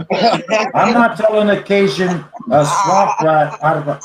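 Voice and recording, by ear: Speaking very slowly in a Boston accent, a man uses lively intonation.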